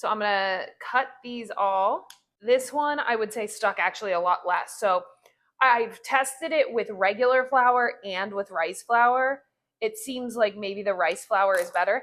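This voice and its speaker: Fairly high in pitch with ordinary pitch variation, a woman speaks at a fairly slow pace on a very clean recording with a silent background. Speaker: home baking video creator. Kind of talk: casual cooking tutorial. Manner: loud; animated.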